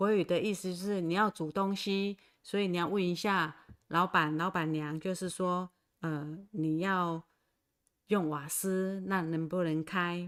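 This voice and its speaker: A woman with a fairly low pitch speaks at a fairly slow pace in a flat monotone. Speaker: Taiwanese language teacher. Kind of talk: livestream language lesson. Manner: slow, repetitive.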